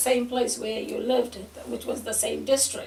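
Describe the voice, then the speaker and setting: Speaking at a moderate pace in a high pitch, a woman is heard over noticeable background noise. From Fiji. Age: 60s. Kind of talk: oral history interview answer.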